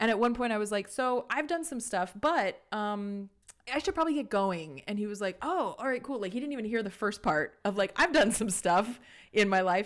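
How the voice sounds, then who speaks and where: The recording is very clean with a silent background, and an unremarkable speaking voice keeps a moderate pace. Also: woman, fairly high pitch for a woman. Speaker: podcast host. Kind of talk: casual chat.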